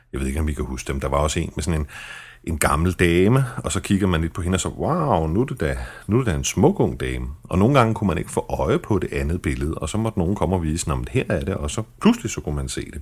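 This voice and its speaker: A man with a very deep, low pitch, vocal fry, very wide pitch swings and a very fast pace, on a very clean recording with a silent background. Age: 40s. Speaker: podcast host, journalist with multiple sclerosis. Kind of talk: personal podcast narration and interview. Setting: fast food restaurant in a shopping centre.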